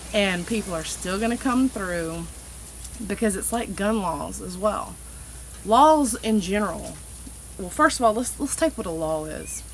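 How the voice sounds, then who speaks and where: Over noticeable background noise, a woman speaks at a fairly slow pace with big swings in loudness and long, frequent pauses. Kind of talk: casual political rant to camera. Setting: outdoors. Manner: unscripted, halting, stutters.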